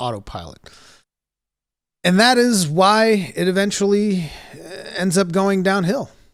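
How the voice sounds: A man's high voice in a very clean recording with a silent background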